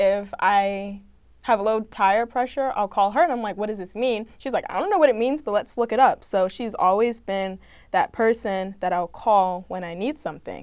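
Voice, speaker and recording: A normal speaking voice from a woman with an American accent, fairly high pitch, ordinary pitch variation and a moderate pace, on a very clean recording with a silent background. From Maryland, Prince George's County. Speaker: student journalist. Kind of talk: casual chat.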